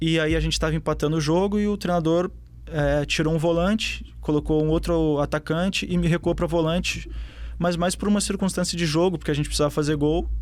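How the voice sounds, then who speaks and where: A man with a southern Brazilian accent speaks at a fairly quick pace. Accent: gaúcho (southern Brazilian). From southern Brazil, Porto Alegre. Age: 20s. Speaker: professional footballer. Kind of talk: interview.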